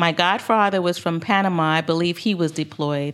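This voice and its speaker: Ordinary pitch variation with an American accent, on a very clean recording against a silent background. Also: woman. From Barbados and Brooklyn, New York. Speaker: financial professional. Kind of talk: casual interview conversation.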